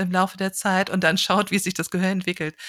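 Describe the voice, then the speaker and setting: A woman's voice at a medium pitch. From northern Hesse, Germany (village near Kassel). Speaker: audiology professor. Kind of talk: interview. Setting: remote recording.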